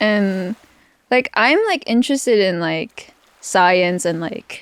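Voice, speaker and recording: A woman with a Filipino accent speaks at a very slow pace in a medium pitch. Her intonation is lively, and the sound is dry and close with no echo. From Philippines. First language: Filipino language. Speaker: podcast co-host. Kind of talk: casual chat. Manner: hesitant, many fillers.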